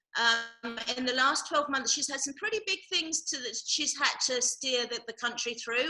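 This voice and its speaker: At a moderate pace, a woman with an English accent speaks in a high pitch. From England. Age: 50s. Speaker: charity director. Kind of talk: casual interview. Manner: hesitant with many ums.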